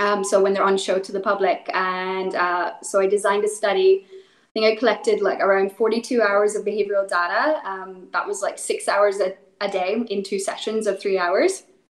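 Medium pitch and fairly even intonation from a woman with a Northern Irish accent, at a moderate pace. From Northern Ireland, rural. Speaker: animal welfare specialist. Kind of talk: interview.

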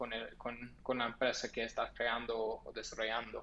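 At a moderate pace, a man speaks. His accent is American. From US, Los Angeles, California. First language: English (speaking Spanish). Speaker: startup founder and CEO. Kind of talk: interview. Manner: halting, many fillers and repetitions.

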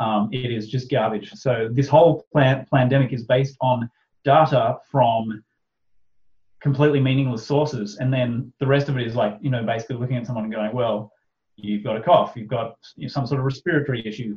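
Speaking at a fairly quick pace with an Australian accent, this man has a medium-pitched, somewhat breathy voice and fairly even intonation. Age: 30s. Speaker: author and podcaster. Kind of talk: casual interview chat.

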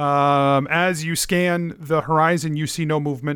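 In a very clean recording with a silent background, a normal speaking voice talks with fairly even intonation. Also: man. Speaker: dungeon master, podcast host. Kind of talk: dramatic narration as dungeon master. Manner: vivid, intense, descriptive, building tension.

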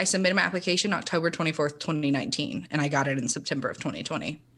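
A woman with an American accent talks at a very fast pace. The recording is very clean and the background silent. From Tennessee (Chattanooga). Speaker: counselor. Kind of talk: casual chat.

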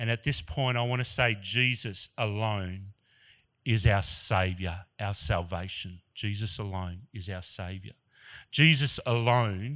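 On a very clean recording with a silent background, a man with an Australian accent speaks at a fairly slow pace, his pitch fairly low with ordinary variation. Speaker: guest preacher. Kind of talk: sermon. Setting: church.

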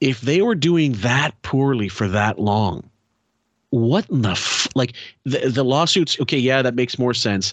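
A man with a Canadian accent speaks at a fairly slow pace in an unremarkable speaking voice, with medium pitch and lively intonation. His loudness stays very even over a quiet background. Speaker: podcast host. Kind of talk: casual chat. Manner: casual, chatty.

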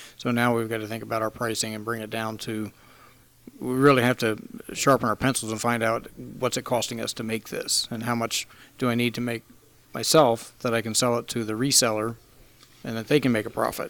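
A man speaks in an American accent at medium pitch. His intonation is monotone and flat. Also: fairly quick pace. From Pennsylvania. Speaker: coffee roaster and business owner. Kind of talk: casual interview. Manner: halting, many fillers.

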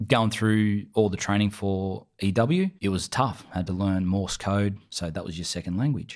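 With an Australian accent, a man speaks at a fairly low pitch and moderate pace, his intonation fairly even, in a very clean recording with a silent background. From New South Wales, Australia. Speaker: army veteran. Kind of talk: interview.

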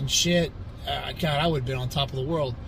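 Ordinary pitch variation amid noticeable background noise and audible room echo. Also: man. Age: 30s. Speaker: bodybuilder and personal trainer. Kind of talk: casual motivational monologue.

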